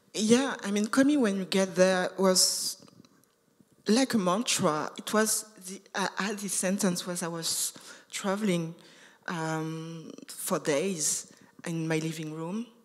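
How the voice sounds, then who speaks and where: A woman with a non-native accent talks at a very slow pace. Her medium-pitched voice shows ordinary pitch variation and big swings in loudness. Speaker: artist. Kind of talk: panel discussion. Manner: halting, many fillers and repetitions.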